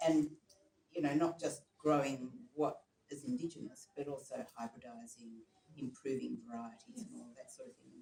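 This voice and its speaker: With an Australian accent, a man at a fairly high pitch speaks at a moderate pace in a somewhat breathy voice with a dark, mellow tone, lively intonation, big swings in loudness and long, frequent pauses. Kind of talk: meeting discussion. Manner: hesitant, filler-heavy.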